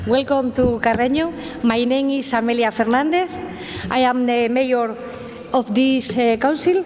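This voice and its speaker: A high-pitched woman speaks at a moderate pace with long, frequent pauses and ordinary pitch variation. Her loudness stays very even, and background noise is noticeable. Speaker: mayor. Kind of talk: formal welcome speech. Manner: halting.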